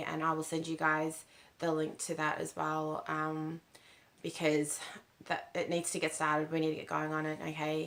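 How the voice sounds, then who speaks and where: A woman with an Australian accent, very deep and low in pitch, at a moderate pace. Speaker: spiritual channel host. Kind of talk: casual spiritual talk to camera. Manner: halting, many fillers.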